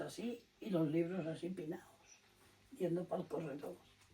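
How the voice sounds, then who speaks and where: A woman speaking at a fairly slow pace over noticeable background noise. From Spain, Liébana (Cantabria). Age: 90s. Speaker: elderly villager. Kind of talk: oral history interview.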